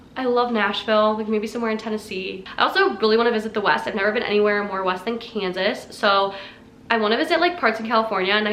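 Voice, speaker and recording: A woman's fairly high voice at a very fast pace, with audible room echo. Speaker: fitness vlogger. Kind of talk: casual chat.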